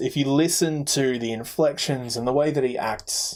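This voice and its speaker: A man's medium-pitched voice in an Australian accent, moderate in pace, with ordinary pitch variation. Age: 20s. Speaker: podcast co-host. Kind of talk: casual chat.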